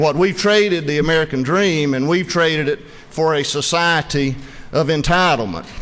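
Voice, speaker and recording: A man whose voice is fairly high for a man talks at a moderate rate, his pitch varying in an ordinary way, with noticeable noise behind him. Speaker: state legislator. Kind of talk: floor speech in legislative debate. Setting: legislative chamber floor. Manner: formal.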